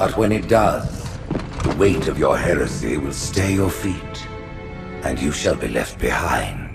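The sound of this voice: With clear music in the background, a man puts on a character voice with an extremely low pitch, vocal fry and big pitch swings, speaking at a fairly slow pace.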